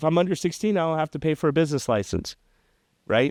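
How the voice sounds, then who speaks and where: A man speaks with an American accent. The sound is dry and close with no echo, over a quiet background. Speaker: entrepreneur. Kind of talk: interview storytelling. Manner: animated.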